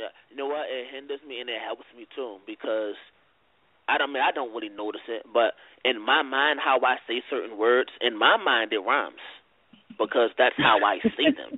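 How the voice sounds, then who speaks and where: Fairly even intonation with big swings in loudness, at a moderate pace. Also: man, medium pitch for a man. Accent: strong Baltimore. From Baltimore, Maryland (inner city). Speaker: battle rapper. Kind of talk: casual interview. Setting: phone call. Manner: needs to project more, not loud.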